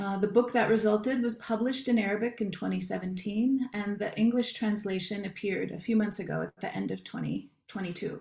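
A woman speaks with hardly any pauses, her voice somewhat breathy and her intonation fairly even. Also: medium pitch for a woman, moderate pace. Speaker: academic panel moderator. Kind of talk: moderated panel discussion. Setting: video call webinar. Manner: hesitant, many fillers.

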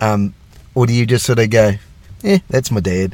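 A man speaks at a fairly low pitch with ordinary pitch variation. There is noticeable background noise behind him. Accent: New Zealand. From New Zealand. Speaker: podcast host, police constable. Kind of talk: interview. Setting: video call.

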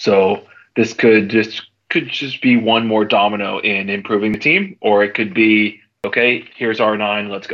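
A man talks at a fairly slow pace. His pitch is medium, with ordinary variation. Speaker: sports podcast panelist. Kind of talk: casual chat. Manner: hesitant, frequent ums.

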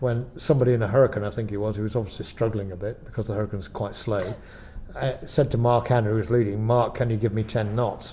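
Very fast and somewhat breathy, a man talks in a dark, mellow tone at a fairly low pitch with fairly even intonation. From Lancashire, northern England. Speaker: air display pilot. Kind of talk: interview.

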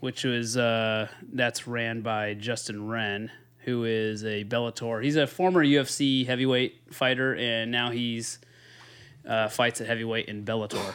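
Speaking at a fairly slow pace with fairly even intonation, a man with an American accent uses a normal speaking voice. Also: medium pitch for a man. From Northern California. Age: 30s. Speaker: podcast co-host. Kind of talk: casual chat.

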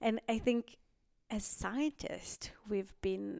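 With an Israeli accent, a woman speaks at a very slow pace in a dry, close sound with no echo. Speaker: stem cell researcher and professor. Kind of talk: interview conversation. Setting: office in person.

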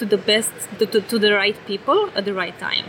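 Speaking with a Romanian accent at a fairly high pitch, a woman is heard over noticeable background noise. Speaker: tech company executive. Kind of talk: interview. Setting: conference booth.

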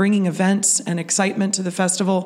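Noticeable background noise sits behind a woman with an American accent and a medium pitch. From Pittsburgh, Pennsylvania. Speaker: festival organization CEO. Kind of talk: interview.

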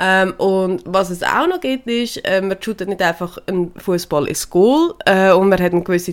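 At a moderate pace, a woman speaks in a plain, everyday voice with a medium pitch and ordinary pitch variation. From Switzerland. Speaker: podcast co-host, horse owner. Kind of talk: casual chat.

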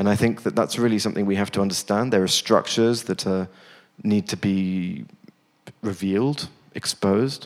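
With a British accent, a man speaks at a fairly low pitch and with fairly even intonation. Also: moderate pace. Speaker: theater director.

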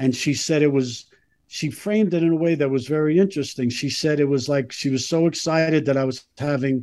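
A man with an American accent and a normal speaking voice, fairly high in pitch, at a moderate pace with ordinary pitch variation, against a quiet background. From US Northeast (Brooklyn, New York). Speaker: artist and filmmaker. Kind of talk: interview.

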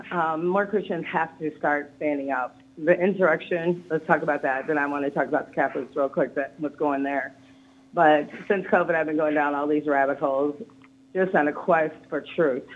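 A woman with an American accent speaks at a moderate pace in a very deep, low pitch, her intonation fairly even. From US South. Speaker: caller. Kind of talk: heated rant about culture issues. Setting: phone call.

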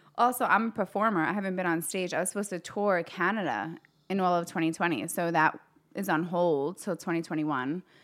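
Here is an ordinary speaking voice: a woman at a fairly low pitch and a fairly quick pace, with ordinary pitch variation. The recording is very clean, with a silent background. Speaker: fitness business owner. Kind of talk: casual chat.

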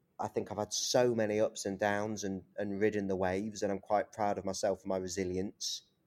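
A man with an East Midlands accent, fairly low in pitch and monotone, flat in intonation, at a fairly quick pace with hardly any pauses, in a dry, close sound with no echo. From East Midlands, England (Leicester). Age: 30s. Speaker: journalist. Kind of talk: interview conversation. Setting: video call.

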